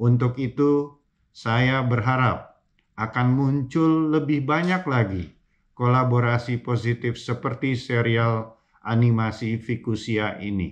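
Against a quiet background, a man talks at a very slow pace. His pitch variation is ordinary. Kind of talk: formal recorded speech. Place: office.

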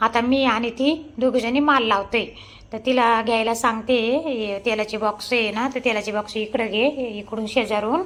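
A woman with a normal speaking voice is heard. Her pitch is fairly high and her intonation fairly even. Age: 50s. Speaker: vlogger and shop owner. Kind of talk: casual vlog narration.

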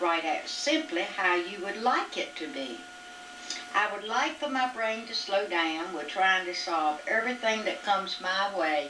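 Over noticeable background noise, a woman talks at a fairly slow pace with very wide pitch swings. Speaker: mother. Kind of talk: reading her own written reflections aloud. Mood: reflective, calm. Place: home room. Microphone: old recording.

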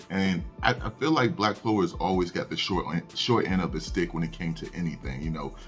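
Faint music plays in the background. A man talks with a very deep, low pitch. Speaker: anime news youtuber. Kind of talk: casual news commentary. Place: home room. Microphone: studio mic.

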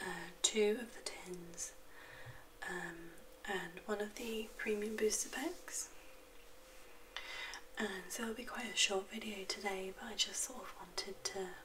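Soft-spoken, a woman talks at a fairly slow pace with a fairly high pitch and ordinary pitch variation, her loudness swinging widely. Long, frequent pauses break up her speech over light background noise. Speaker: card opening hobbyist. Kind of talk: soft-spoken ASMR card opening. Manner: soft-spoken, quiet. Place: home room.

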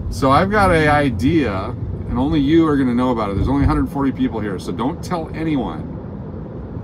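Heavy background noise runs through the clip. Over it, a man talks. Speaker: live-stream host driving. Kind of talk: casual live-stream chat. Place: car. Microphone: phone near.

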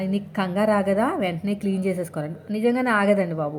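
An ordinary speaking voice comes through with fairly even intonation. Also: woman. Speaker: housewife cooking vlogger. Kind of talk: casual vlog talk while cooking. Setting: home kitchen.

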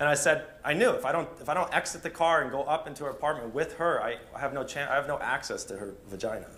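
This man has a fairly high voice and ordinary pitch variation. He talks very fast with hardly any pauses. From United States. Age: 30s. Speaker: dating coach. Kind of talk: seminar talk. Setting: stage with audience. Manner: hesitant, many fillers and repeats. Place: hall.

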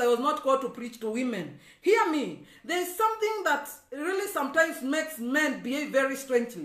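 Extremely high for a man, his raised, projected voice has a bright, sharp tone and lively intonation, with audible room echo around it. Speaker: evangelist preacher. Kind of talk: sermon. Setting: Facebook live stream. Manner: preacherly, emphatic.

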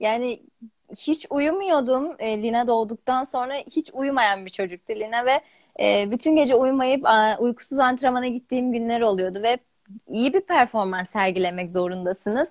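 Against a quiet background, a woman speaks at a high pitch. Her pace is moderate and her intonation lively. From Turkey, grew up in Bolu; Turkey. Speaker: gymnast. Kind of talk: interview. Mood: warm, smiling, reflective. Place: home room. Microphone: video call.

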